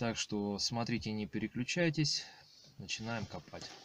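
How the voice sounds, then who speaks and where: A man talks at a fairly slow pace with ordinary pitch variation. The sound is dry with no echo, with light background noise. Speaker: metal detecting hobbyist vlogger. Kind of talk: casual vlog chat. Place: car. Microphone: phone near.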